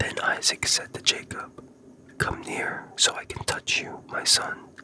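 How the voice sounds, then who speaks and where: Whispering at a fairly slow pace over noticeable background noise. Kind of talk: ASMR scripture reading for sleep. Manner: whispered.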